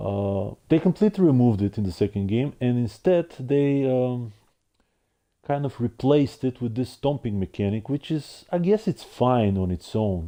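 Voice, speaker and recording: Against a quiet background, a man with a non-native accent speaks at a moderate pace, his medium-pitched voice dark and mellow in tone with lively intonation. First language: not English. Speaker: gaming streamer. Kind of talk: casual monologue review. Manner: halting with repetitions.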